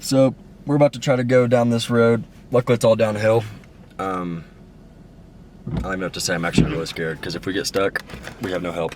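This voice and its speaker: Noticeable background noise is present in this clip. A man speaks at a fairly quick pace. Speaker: hunting vlogger. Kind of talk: outdoor vlog narration. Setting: in a car.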